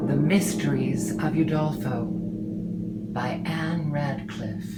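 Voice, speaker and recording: Over music in the background, a woman with an American accent talks very slowly in a very deep, low voice whose pitch swings very widely. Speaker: actress, harpist; former classical music radio host. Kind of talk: audiobook reading of classic novel.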